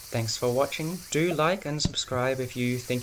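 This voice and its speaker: A man speaks at a medium pitch with ordinary pitch variation. Noticeable background noise runs under his voice. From urban Australia. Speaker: gaming YouTuber. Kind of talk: let's-play commentary. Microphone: laptop recording, stuttering video.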